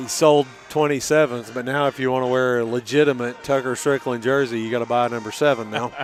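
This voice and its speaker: Over noticeable background noise, a man talks very fast in a monotone, flat intonation. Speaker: high school football play-by-play announcer. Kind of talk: live commentary. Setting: in the stands at a high school football game. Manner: quiet, talking softly.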